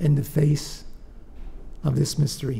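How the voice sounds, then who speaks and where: A man speaks with a fairly high pitch and a dark, mellow, somewhat breathy tone. His intonation is fairly even, and room echo is audible. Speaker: professor. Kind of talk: lecture. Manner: soft-spoken; halting.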